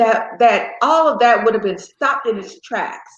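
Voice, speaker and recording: A woman with an American accent talks amid audible echo from the room. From US South, small town in South Carolina. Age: 70s. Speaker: guest, host's mother. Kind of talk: family interview conversation.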